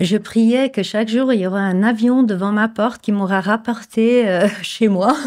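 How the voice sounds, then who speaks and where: Delivered with hardly any pauses, the speech has fairly even intonation and a slight Flemish accent. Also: woman, fairly high pitch for a woman. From Flemish Belgium, Bruges. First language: Dutch (Flemish) (speaking French). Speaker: image consultant and coach. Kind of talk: interview. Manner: hesitant, many fillers.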